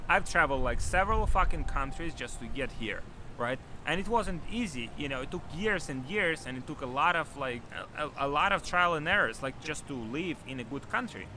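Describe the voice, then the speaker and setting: Here a man with a non-native accent talks at a fairly quick pace, his pitch fairly high. His tone is bright and sharp, and his intonation lively. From Ukraine. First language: not English. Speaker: e-commerce entrepreneur and coach. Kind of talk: motivational talk to camera. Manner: animated.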